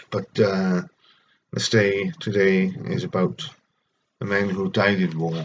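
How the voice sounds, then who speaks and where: Speaking very slowly with long, frequent pauses, a man with a Welsh accent keeps a fairly low pitch and ordinary pitch variation. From Wales. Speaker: vlogger with schizophrenia reading own poetry. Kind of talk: poetry reading; personal reflection. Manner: halting.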